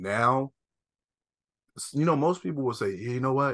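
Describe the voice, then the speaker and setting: In a bright, sharp tone, a man talks with an American accent. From US East Coast. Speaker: podcast co-host. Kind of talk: casual chat.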